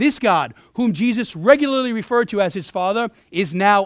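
A very clean recording with a silent background, an animated tone and lively intonation. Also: man. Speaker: pastor. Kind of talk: sermon. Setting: church. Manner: fast.

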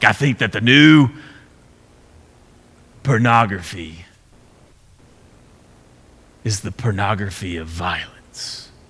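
Using a raspy, put-on character voice, a man speaks fairly slowly and fairly low, with long, frequent pauses. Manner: deliberate, distinct.

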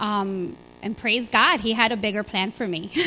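A woman's fairly high voice in a Chicago accent, fairly slow and with ordinary pitch variation, over background music. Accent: Chicago American. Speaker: church member sharing testimony. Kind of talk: testimony. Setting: church with congregation.

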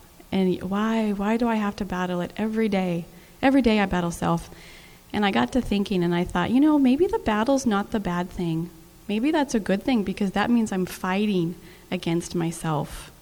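A woman speaks in a plain, everyday voice at a medium pitch. Her pitch varies in an ordinary way, and her pace is moderate. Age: 40s. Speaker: mother, panelist. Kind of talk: panel discussion.

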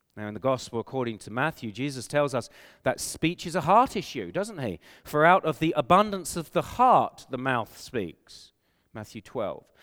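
A man with an English accent and fairly high pitch talks at a moderate pace, with very wide pitch swings and big swings in loudness, on a very clean recording with a silent background. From England. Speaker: pastor. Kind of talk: sermon. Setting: conference hall with audience.

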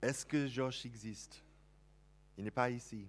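A man with an American accent and fairly even intonation. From United States. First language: English (speaking French). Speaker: pastor. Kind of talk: sermon. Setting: church.

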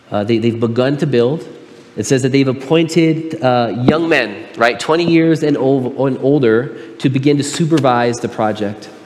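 Noticeable background noise and room echo surround a man speaking at a medium pitch and a moderate pace with ordinary pitch variation. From Southern California (Pomona). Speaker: pastor. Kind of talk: sermon.

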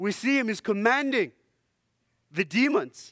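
A man talks at a moderate pace with a non-native accent and very wide pitch swings. The recording is very clean, with a silent background. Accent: foreign. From Zimbabwe. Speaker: lay preacher, church elder and dentist. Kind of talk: sermon. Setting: church. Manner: hesitant, many filler words.

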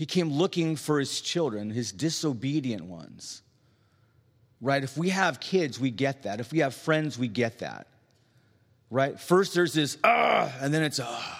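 This man's pace is fairly slow. His voice sits fairly high. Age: 50s. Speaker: street preacher. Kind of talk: sermon. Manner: animated.

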